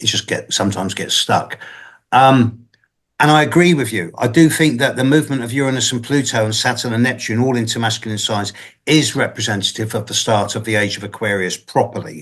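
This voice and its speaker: In a quiet background, a man with an unremarkable speaking voice talks at a fairly quick pace in a medium pitch with ordinary pitch variation. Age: 60s. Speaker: astrologer. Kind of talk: Q&A after online lecture.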